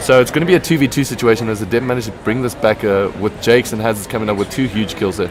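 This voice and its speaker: Room echo is audible and background noise is noticeable. A man speaks with ordinary pitch variation. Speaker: esports commentator. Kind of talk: live commentary. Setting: live event venue next to players. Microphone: stream recording, poor quality.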